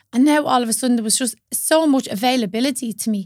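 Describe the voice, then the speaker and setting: With a strong Dublin accent, the speaker goes at a very fast pace with ordinary pitch variation. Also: woman, very clean recording, silent background. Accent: strong northern Dublin Irish. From north Dublin, Ireland. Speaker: yoga teacher.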